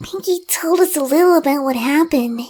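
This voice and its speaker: Using a put-on character voice, a female-sounding speaker pitches it high for a woman. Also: fairly quick pace. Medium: read story. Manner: soft, hesitant.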